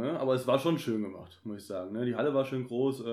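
Here is a man with an ordinary speaking voice. His intonation is fairly even. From Germany, Kassel. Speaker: podcaster. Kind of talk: casual chat.

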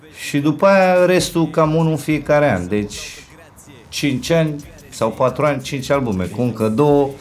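This man has a fairly high pitch and a lively intonation. He speaks at a fairly slow pace. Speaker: rapper. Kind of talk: casual interview. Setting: in a home. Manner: animated.

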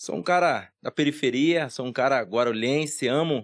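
This man has a normal speaking voice, moving at a moderate pace with ordinary pitch variation. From Guarulhos, São Paulo, Brazil. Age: 30s. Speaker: salesman and motivational speaker. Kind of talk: casual interview.

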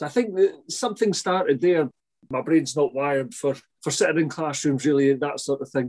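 This man has a Scottish accent and a fairly high pitch. His pitch variation is ordinary. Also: moderate pace. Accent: Scottish (Fife). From Scotland, St Andrews. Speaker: head gardener and TV gardening presenter. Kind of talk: interview.

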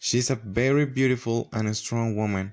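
A man with a Spanish accent talks at a moderate pace and medium pitch, with ordinary pitch variation, against a quiet background. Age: 20s. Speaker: language student. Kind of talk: student presentation.

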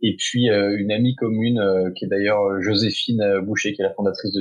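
A man speaks at a moderate pace. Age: 30s. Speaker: entrepreneur, founder of an outdoor adventure community. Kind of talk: interview. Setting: remote recording. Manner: hesitant, many fillers.

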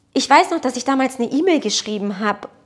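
A woman's high-pitched voice with lively intonation and a Portuguese accent. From Baden-Württemberg (Blaubeuren near Ulm), born in Portugal. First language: Portuguese (speaking German). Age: 30s. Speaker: photographer and entrepreneur. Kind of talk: casual interview conversation.

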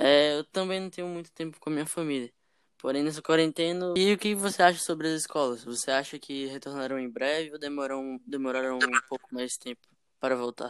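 In a very clean recording against a silent background, the words come out at a fairly quick pace. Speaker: podcast host. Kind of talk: casual chat.

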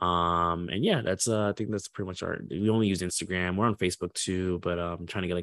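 A man with an American accent, very deep and low in pitch, fairly even in intonation, at a very fast pace with hardly any pauses, in a dry, close sound with no echo against a quiet background. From Florida, US. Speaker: entrepreneur and recruiter. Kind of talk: casual interview.

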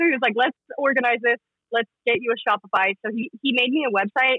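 The speaker talks with a Western US accent and ordinary pitch variation. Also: woman. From Utah (Salt Lake City). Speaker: clothing brand founder. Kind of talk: casual interview.

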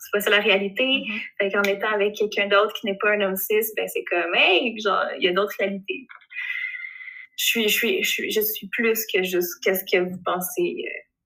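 A woman with a Quebec accent at a fairly quick pace, medium in pitch with ordinary pitch variation. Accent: Québécois French. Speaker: illustrator. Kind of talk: interview. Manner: animated.

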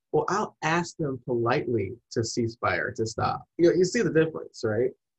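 Recorded with a dry, close sound and no echo, a man talks at a fairly quick pace in a somewhat breathy voice. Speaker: podcast host. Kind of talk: casual interview chat.

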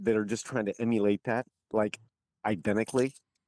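A man at medium pitch, dry and close with no echo, on a very clean recording with a silent background. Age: 50s. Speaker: real estate agent and retired Marine. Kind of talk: casual chat.

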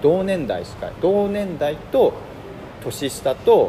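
A man with a high-pitched voice speaks with lively intonation over noticeable background noise. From Hiroshima, Japan. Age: 30s. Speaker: designer. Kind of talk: casual chat.

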